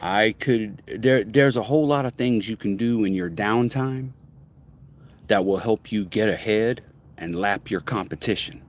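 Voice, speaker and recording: Using ordinary pitch variation, a man with a medium pitch talks at a moderate pace. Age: 50s. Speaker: motivational vlogger. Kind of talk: casual monologue. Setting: outdoors. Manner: halting.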